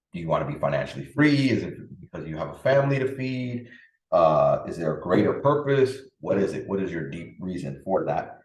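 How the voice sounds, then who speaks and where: Heard with audible room echo, a man talks at a moderate pace in an animated tone. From Dominican Republic, raised in the Bronx, New York. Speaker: podcast host, parenting and productivity coach. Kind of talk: solo podcast talk.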